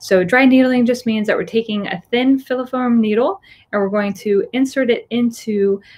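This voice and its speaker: Speaking at a moderate pace with an American accent, a woman sounds somewhat breathy and shows ordinary pitch variation. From Florida. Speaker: physical therapist. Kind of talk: webinar lecture. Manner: casual with fillers. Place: office. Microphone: webcam.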